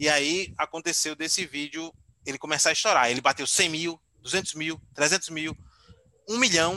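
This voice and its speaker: The sound is dry and close, with no echo. A man speaks fairly slowly in a fairly high pitch with a bright, sharp tone. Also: ordinary pitch variation. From Aracaju, Sergipe, Brazil. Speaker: YouTuber and digital strategist. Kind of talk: casual interview chat.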